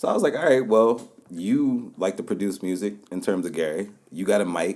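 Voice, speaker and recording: A man talks at a fairly quick pace in a fairly low pitch. His pitch varies in an ordinary way. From Baltimore, Maryland, US. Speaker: podcast host (guest). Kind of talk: casual chat.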